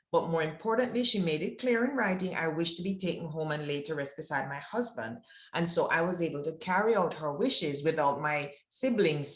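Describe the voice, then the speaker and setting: With a Jamaican accent, a woman speaks at a fairly quick pace with lively intonation, and room echo is audible. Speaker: wealth advisor. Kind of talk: presentation.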